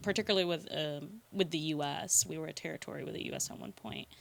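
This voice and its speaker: This woman talks at a very fast pace in a fairly low pitch. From US, Filipino immigrant family. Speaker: podcast guest. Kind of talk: casual chat. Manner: halting.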